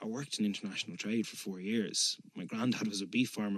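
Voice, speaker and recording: In a Dublin accent, a man talks at a very fast pace with a fairly low pitch and fairly even intonation, the sound dry and close with no echo. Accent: Dublin Irish. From Dublin, Ireland. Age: 30s. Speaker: politician. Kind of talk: interview answer.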